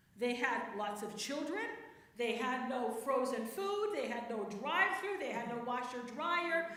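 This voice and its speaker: Projecting her raised voice, a woman speaks in an animated tone at a fairly slow pace. Her pitch swings very widely, and room echo is audible. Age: 60s. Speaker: church speaker, priest's wife and theologian. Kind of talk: talk to a church women's group. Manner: conversational, animated.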